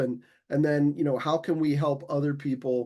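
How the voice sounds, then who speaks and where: A man with a normal speaking voice, fairly high-pitched, at a moderate pace, against a quiet background. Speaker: simulation educator at a college. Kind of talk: online community meeting.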